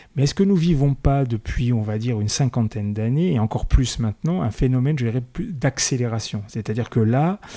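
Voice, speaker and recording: A man's dark, mellow tone at a fairly quick pace with hardly any pauses, on a very clean recording against a silent background. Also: medium pitch for a man, lively intonation. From France, Paris suburbs. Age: 50s. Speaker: podcast host. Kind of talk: interview. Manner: hesitant, repeats words.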